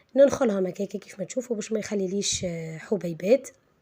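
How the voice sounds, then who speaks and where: Speaking with a Tunisian accent, a woman has a medium pitch and a dark, mellow tone. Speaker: cooking channel host. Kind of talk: cooking tutorial. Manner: halting, many fillers.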